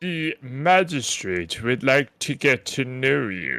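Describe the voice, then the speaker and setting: In a put-on character voice, a man with a medium pitch talks at a very slow pace with lively intonation. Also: very clean recording, silent background. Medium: actual play. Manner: polite, formal.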